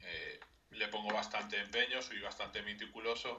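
A man in a Madrid accent. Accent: Castilian Spanish (Madrid). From Spain, Madrid. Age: 30s. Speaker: video game mod editor. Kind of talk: radio interview.

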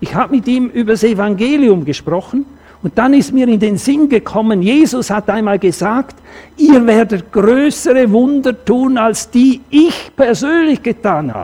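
Speaking at a fairly slow pace, a man has an extremely high pitch. His intonation is lively. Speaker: preacher. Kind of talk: sermon in church, with a personal anecdote and a closing prayer. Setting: church. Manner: earnest, conversational, animated when telling stories.

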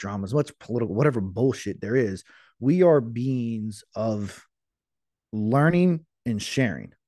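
At a fairly slow pace and with lively intonation, a man speaks in an ordinary speaking voice against a quiet background. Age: 30s. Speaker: podcast guest. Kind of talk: casual chat.

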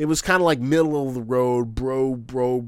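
A man at medium pitch with ordinary pitch variation and a plain, everyday voice. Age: 30s. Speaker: YouTuber. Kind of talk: casual chat.

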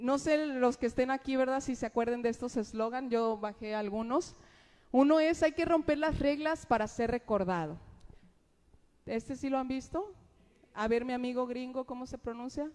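A moderate pace with ordinary pitch variation. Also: woman, high pitch for a woman. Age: 30s. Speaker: preacher. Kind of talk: sermon.

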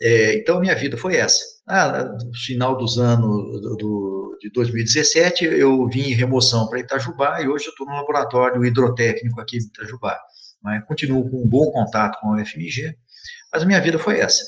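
A somewhat breathy man at medium pitch. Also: ordinary pitch variation, moderate pace. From Brazil, interior of São Paulo state (Mococa). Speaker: civil engineering professor. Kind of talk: interview. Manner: halting, with frequent repetitions; emphatic.

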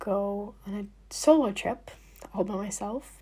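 The voice has a dark, mellow tone, somewhat breathy, with fairly even intonation. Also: woman. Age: young. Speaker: podcast host. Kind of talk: solo monologue.

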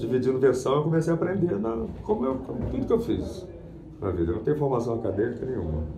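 Very wide pitch swings at a fairly quick pace, with audible room echo and noticeable background noise. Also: man. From Rio de Janeiro, Brazil. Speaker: voice actor and dubbing teacher. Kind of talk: interview.

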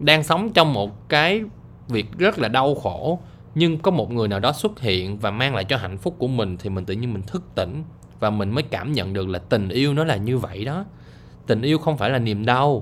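Moderate speed and a medium pitch from a man, plus very wide swings in pitch. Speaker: podcaster. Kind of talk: casual monologue. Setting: lying in bed.

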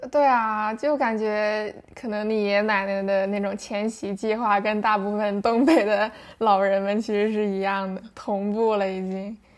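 Her voice a normal speaking voice, a woman talks at a fairly slow pace with hardly any pauses, using a fairly high pitch and fairly even intonation. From Shenyang, northeast China. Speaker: guest. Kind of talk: casual chat. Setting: remote recording.

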